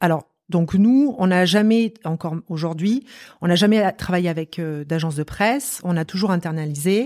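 A woman with an unremarkable speaking voice talks at a moderate pace in a fairly low pitch, her intonation lively. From France, Marseille. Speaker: company director. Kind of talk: interview conversation.

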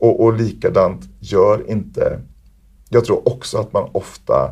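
A man speaks at a fairly slow pace. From Sweden (Värmland). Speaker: performer, choreographer and teacher. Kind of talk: interview. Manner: hesitant with fillers.

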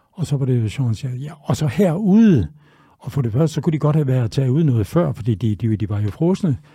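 Recorded very cleanly against a silent background, a man speaks at a fairly quick pace in a somewhat breathy, dark and mellow voice with very wide pitch swings. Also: medium pitch for a man. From Denmark, Tønder (Southern Jutland). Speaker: chef. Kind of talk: interview. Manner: halting.

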